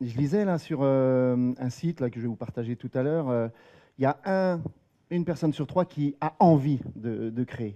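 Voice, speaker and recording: A man's medium-pitched voice, dark and mellow in tone, goes at a fairly slow pace with ordinary pitch variation in a dry, close sound with no echo. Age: 40s. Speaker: company employee and freelancer. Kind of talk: talk to a live audience. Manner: halting, many hesitations.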